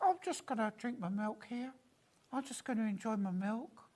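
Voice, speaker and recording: A female-sounding voice does a put-on character voice at a fairly high pitch. The pace is moderate. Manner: smug, relaxed.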